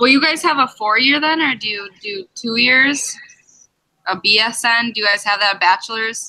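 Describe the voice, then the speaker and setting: Speaking with an Upper Midwest accent, a woman uses a fairly high pitch, a bright, sharp tone and lively intonation at a moderate pace. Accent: Upper Midwest American. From Minnesota, Eagan. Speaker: nursing student. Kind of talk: casual chat.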